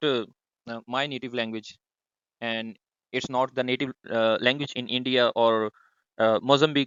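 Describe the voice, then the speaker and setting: With a Punjabi accent, this voice moves at a moderate pace with fairly even intonation and long, frequent pauses. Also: man. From Pakistan, Punjab. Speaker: discussion moderator. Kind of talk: online group discussion. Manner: hesitant, many fillers.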